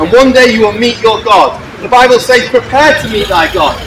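Over noticeable background noise, a man speaks in a raised, projected voice at an extremely high pitch. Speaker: street preacher. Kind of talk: open-air evangelistic sermon to passers-by. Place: street. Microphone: camera far.

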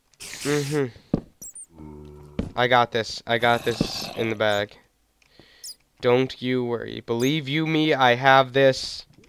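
Spoken at a very slow pace with long, frequent pauses, the voice is set against music in the background. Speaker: gaming video creator. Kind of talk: let's play gaming commentary.

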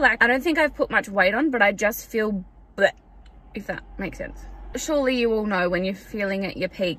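A woman speaks with a bright, sharp tone. The sound is dry, with no echo. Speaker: vlogger. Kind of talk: casual vlog chat. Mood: chatty, upbeat. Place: car. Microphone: phone near.

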